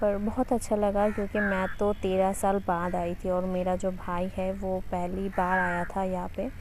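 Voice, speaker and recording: A woman speaks in a medium pitch with monotone, flat intonation. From West Bengal. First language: Bengali (speaking Hindi). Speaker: travel vlogger. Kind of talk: casual vlog narration. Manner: halting.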